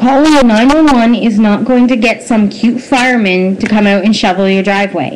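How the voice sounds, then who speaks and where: Amid noticeable background noise, a woman talks at a moderate pace, her fairly high pitch showing ordinary variation. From Nova Scotia, Canada. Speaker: vlogger. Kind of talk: opinion commentary monologue. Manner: animated.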